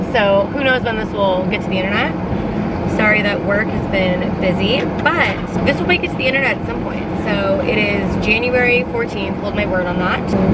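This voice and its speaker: Loud background noise surrounds a dry voice with no echo. The pace is moderate and the pitch variation ordinary. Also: woman. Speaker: vlogger driving. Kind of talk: casual vlog chat. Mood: giggly, upbeat. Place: car. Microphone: phone near.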